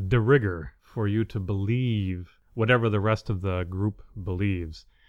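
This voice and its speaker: A man speaks at a moderate pace in a fairly low pitch. His pitch varies in an ordinary way, over a quiet background. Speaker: podcast host. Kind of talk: monologue commentary. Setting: home apartment in the city.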